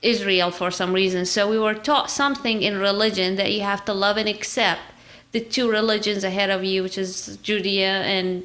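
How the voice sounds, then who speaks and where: A woman talks with an Arabic accent at a medium pitch. Her tone is bright and sharp, and her intonation is fairly even. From Iraq. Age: 30s. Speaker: podcast guest. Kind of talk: casual interview chat.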